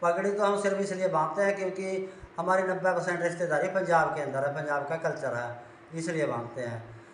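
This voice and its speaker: Noticeable background noise and audible room echo surround the speaker. He is a man with a high pitch and ordinary pitch variation. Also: moderate pace. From Haryana near Punjab border. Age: 60s. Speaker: livestock farmer. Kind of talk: interview.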